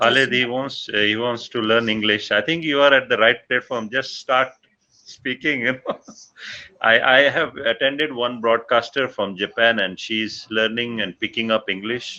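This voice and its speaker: At a moderate pace, a man with a Pakistani accent talks at a medium pitch with fairly even intonation. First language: Punjabi. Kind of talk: casual chat.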